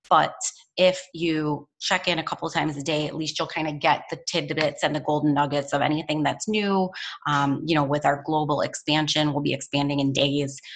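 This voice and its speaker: With a very deep, low voice, a woman talks at a fairly quick pace in an energetic tone. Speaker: network marketing team leader. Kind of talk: team training call. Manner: fast.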